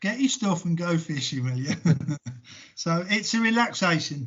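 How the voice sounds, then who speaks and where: In an English accent, a man speaks at a high pitch. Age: 60s. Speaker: sports coach. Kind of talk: casual interview. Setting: video call.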